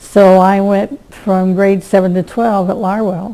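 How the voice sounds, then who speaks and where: A woman is speaking. She has a Midwestern American accent. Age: 80s+. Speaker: local elder interviewee. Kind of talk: oral history interview. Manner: hesitant, with fillers.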